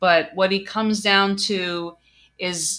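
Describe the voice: With fairly even intonation, a person does plain reading aloud.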